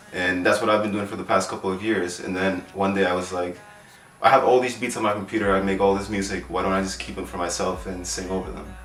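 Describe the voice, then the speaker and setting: A man talks very fast in a very deep, low pitch. Audible room echo and noticeable background noise fill the recording. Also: ordinary pitch variation. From Queens, New York. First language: Spanish. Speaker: singer and music producer. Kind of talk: interview. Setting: in person in Brooklyn. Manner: hesitant, many fillers.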